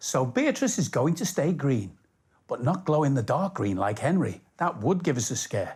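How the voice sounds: The tone is slightly mellow, with big pitch swings. The pace is moderate. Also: man, medium pitch for a man.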